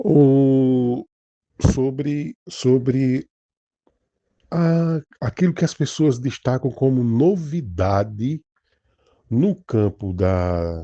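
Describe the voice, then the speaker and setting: A man at a medium pitch, very slow and with long, frequent pauses, very wide pitch swings and very even loudness. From Brazil, Northeast. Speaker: pastor. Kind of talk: informal religious talk. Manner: halting, many false starts.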